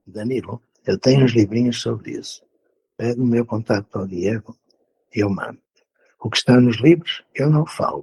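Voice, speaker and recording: A man speaks at a medium pitch and a moderate pace, with ordinary pitch variation and long, frequent pauses. His tone is dark, mellow and somewhat breathy, and the sound is dry and close with no echo. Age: 70s. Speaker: educator. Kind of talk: interview.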